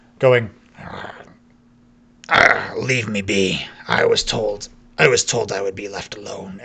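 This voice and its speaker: In a gruff, put-on character voice, a man speaks at a fairly low pitch. He talks fairly slowly, with long, frequent pauses. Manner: weary, wanting to be left alone.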